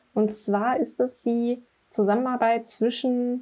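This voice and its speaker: A woman speaks in a dark, mellow tone. Her pitch is fairly high and her intonation fairly even. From Braunschweig, Germany. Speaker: digital product manager. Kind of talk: casual chat.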